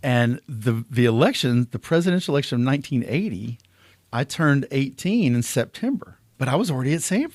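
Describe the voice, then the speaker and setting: A man with an Alabama accent, medium pitch and lively intonation at a fairly quick pace, in a dry, close sound with no echo and a very clean recording with a silent background. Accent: Southern US (Alabama). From US South, southwest Alabama (Clarke County). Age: 60s. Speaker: political candidate. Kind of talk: interview. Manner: animated.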